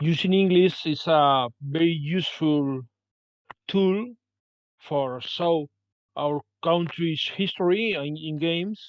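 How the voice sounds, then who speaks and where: Very slow speech with a Spanish accent and long, frequent pauses. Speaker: game designer. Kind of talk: panel discussion. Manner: halting.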